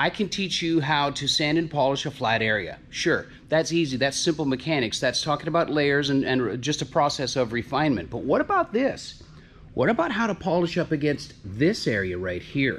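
A man speaks with vocal fry. Light background noise can be heard. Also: moderate pace. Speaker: auto body instructor. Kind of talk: casual vlog chat. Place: workshop. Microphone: phone near.

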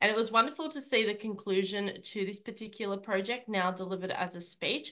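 A woman's bright, sharp voice at a medium pitch and a fairly quick pace, over a quiet background. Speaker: public speaking club director. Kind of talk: speech evaluation. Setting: video call. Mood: warm, encouraging. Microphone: video call.

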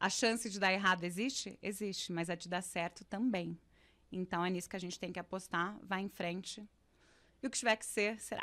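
Her bright, sharp tone at medium pitch carries a woman's fairly quick speech with fairly even intonation. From interior of São Paulo state, Ribeirão Preto; São Paulo state. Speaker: actress. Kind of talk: casual interview. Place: studio. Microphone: studio mic.

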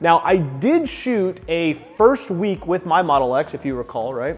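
A man speaks with faint music in the background. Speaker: car channel host. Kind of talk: casual interview chat. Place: garage.

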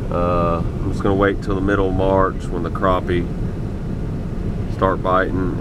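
Dry sound with no echo, plus noticeable background noise. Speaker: angler vlogger. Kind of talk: casual vlog chat. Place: car. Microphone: phone near.

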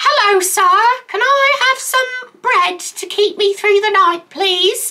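In a put-on character voice with a British accent, the speaker delivers extremely high-pitched lines at a fairly slow pace. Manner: polite, pleading.

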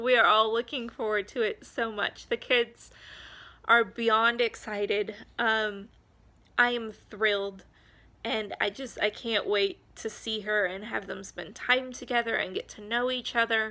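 A woman speaks with an American accent in a fairly high pitch. Her tone is bright and sharp, and her intonation fairly even. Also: fairly slow pace. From Montana. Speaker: homeschooling mom vlogger; parent vlogger. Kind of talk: casual vlog update; casual vlog chat. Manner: hesitant, many filler ums. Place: home room. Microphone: phone near.

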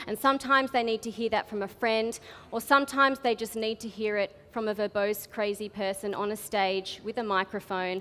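In an Australian accent, a woman with a bright, sharp tone and fairly high pitch talks at a fairly quick pace with fairly even intonation. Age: 20s. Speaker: spoken word artist. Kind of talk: storytelling talk to a live audience. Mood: humorous, candid. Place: stage. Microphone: headset.

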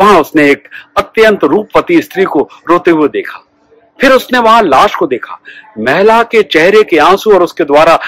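Against a quiet background, a man speaks at a fairly slow pace with very wide pitch swings, the sound dry with no echo. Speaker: storyteller. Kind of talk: storytelling narration. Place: garden. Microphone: phone near.

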